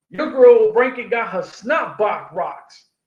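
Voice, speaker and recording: A man talks in a New York accent with an animated tone. His intonation is lively. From New York City (Queens). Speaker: combat sports podcast host. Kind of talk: casual monologue podcast.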